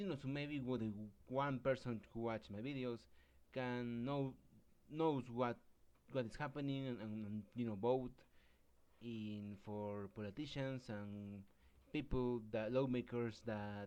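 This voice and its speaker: With a Spanish accent, the speaker talks at a fairly slow pace, broken by long, frequent pauses. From Mexico. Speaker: commentary YouTuber. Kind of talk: casual commentary monologue. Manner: halting, many fillers and restarts.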